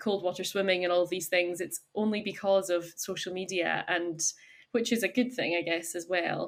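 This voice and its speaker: In a Highland Scottish accent, a woman of medium pitch speaks at a moderate pace with fairly even intonation on a very clean recording with a silent background. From Scotland, Isle of Skye. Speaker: chef and cafe owner. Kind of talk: podcast interview.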